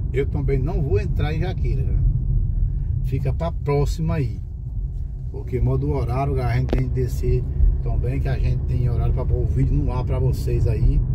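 Moderate-paced male speech, dry sound with no echo, loud background noise behind it. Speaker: driver vlogger. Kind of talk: casual vlog chat. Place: car. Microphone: phone near.

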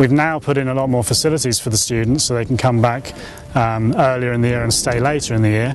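Fairly quick and fairly even in intonation, a man speaks in a dry sound with no echo. Noticeable background noise is present. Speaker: site owner or host. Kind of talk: interview answer. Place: open country. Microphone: lapel.

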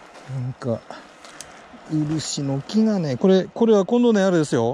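Against light background noise, a man with an Aomori accent speaks at a high pitch with very wide pitch swings, the sound dry with no echo. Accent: soft Hachinohe dialect. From Hachinohe, Aomori. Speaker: retired high school teacher. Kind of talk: mumbled monologue while hiking. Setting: outdoors. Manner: relaxed, soothing. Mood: relaxed, mellow, talking to himself. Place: forest. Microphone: phone near.

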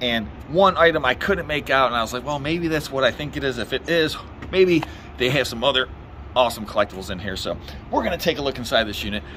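Music plays in the background. Over it, a man speaks at a very fast pace with lively intonation. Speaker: auctioneer, reseller. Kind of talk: casual vlog chat. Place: street.

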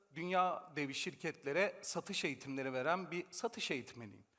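On a very clean recording with a silent background, a man speaks in an animated tone at a moderate pace. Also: hardly any pauses. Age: 40s. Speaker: sales trainer and author. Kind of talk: conference talk. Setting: stage with audience.

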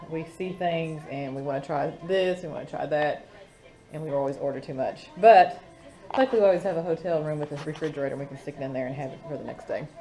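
Fairly quick speech over faint music in the background. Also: woman. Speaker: travel vlogger. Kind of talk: casual vlog chat. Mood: mildly disappointed, wry. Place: home room. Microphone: phone near.

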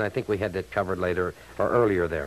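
The pace is fairly quick. The speaker is a man. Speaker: local radio announcer. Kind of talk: emergency radio broadcast, reading closings and cancellations. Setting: AM radio broadcast. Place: studio. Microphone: old recording.

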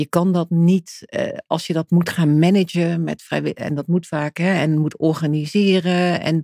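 In a dark, mellow tone and a fairly low pitch, a woman speaks at a fairly slow pace with hardly any pauses and monotone, flat intonation, the sound dry and close with no echo. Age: 50s. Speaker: charity foundation director. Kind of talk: podcast interview.

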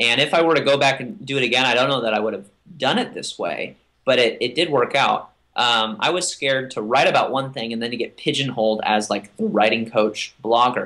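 In a quiet background, a man with an American accent talks at a fairly quick pace. His tone is bright and sharp, with ordinary pitch variation. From US South. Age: 20s. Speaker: writer and blogger; blogger. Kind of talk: interview; interview answer. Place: home room. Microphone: webcam.

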